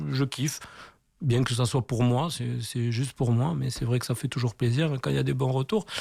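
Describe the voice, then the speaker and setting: A man with a southwestern French accent talks at a moderate pace, his medium-pitched voice somewhat breathy with a dark, mellow tone. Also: ordinary pitch variation. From southwestern France, Tarbes. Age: 40s. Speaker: graffiti artist. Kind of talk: radio interview. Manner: casual, hesitant with many fillers.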